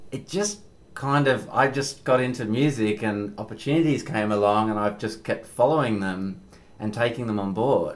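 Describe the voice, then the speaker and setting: With an Australian accent, the speaker talks at a moderate speed, pitch moving in a typical way. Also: man, medium pitch for a man. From Perth, Western Australia. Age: 40s. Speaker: podcast host and musician. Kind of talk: casual chat. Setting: on location in Williamstown, Melbourne.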